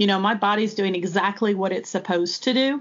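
In an unremarkable speaking voice, a woman talks at a medium pitch with ordinary pitch variation. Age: 30s. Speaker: nurse educator. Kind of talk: casual interview, personal birth story.

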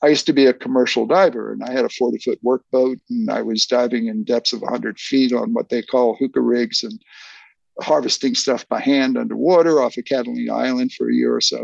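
A man with an American accent talks at a fairly quick pace. The sound is dry and close, with no echo. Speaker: film historian and author. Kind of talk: casual interview chat.

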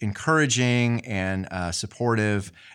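A man with an Appalachian accent speaks fairly slowly in a bright, sharp tone at medium pitch with ordinary pitch variation, on a very clean recording with a silent background. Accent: Appalachian Southern American. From US South, southwestern Virginia. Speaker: Methodist pastor. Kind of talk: interview conversation.

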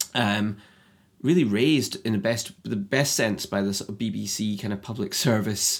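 A man with an Edinburgh accent at a moderate pace. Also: fairly low pitch for a man, ordinary pitch variation. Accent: Scottish (Edinburgh). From Scotland, Edinburgh. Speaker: screenwriter. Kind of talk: casual interview chat. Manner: halting, many fillers.

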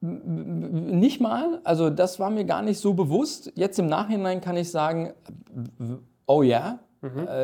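Speaking at a very slow pace, a man uses a high pitch that swings very widely. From Ruhr area, Dortmund (Germany), Turkish family. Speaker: corporate strategy executive. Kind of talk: interview.

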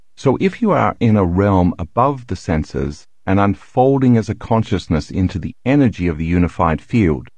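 Here a man speaks in a plain, everyday voice, fairly low in pitch, with lively intonation. His pace is moderate, and the background is quiet. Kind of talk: nonfiction audiobook reading, an author's self-help/science book read aloud. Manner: even, measured, instructional pacing with a calm, earnest, explanatory tone.

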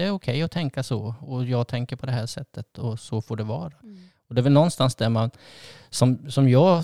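A man with a dark, mellow tone talks fairly quickly at medium pitch and ordinary pitch variation, in a dry, close sound with no echo. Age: 60s. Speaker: couples therapist and podcast host. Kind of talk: casual chat. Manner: halting.

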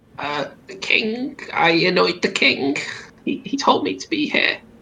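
In a put-on character voice, a man speaks at a high pitch. His pace is fairly slow. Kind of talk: comic impression of a Monty Python actor. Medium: actual play. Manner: halting, simple short phrases.

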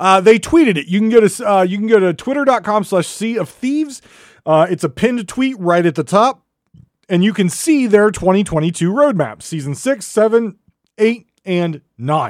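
A man's high-pitched voice at a moderate pace, with lively intonation, in a very clean recording with a silent background. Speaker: podcast host. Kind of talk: casual solo podcast monologue. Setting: podcast. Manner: animated; hesitant, filler-heavy.

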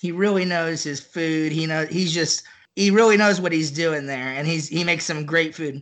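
A man with a Texan accent, fairly high pitch and fairly even intonation. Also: moderate pace. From Central Texas (near Austin). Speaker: barbecue enthusiast. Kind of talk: casual chat.

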